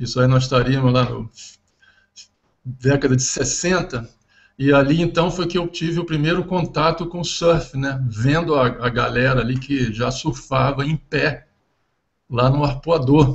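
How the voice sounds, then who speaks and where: A man's somewhat breathy, fairly high voice, fairly slow, with ordinary pitch variation and long, frequent pauses. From Brazil, Rio de Janeiro (Ipanema). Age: 60s. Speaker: ocean engineering professor. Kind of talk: interview.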